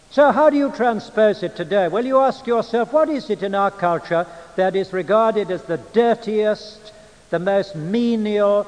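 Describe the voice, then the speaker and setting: A man with an English accent and a high pitch speaks at a fairly slow pace. Noticeable background noise is present. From England. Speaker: preacher and Bible teacher. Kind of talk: lecture. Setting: church. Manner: formal.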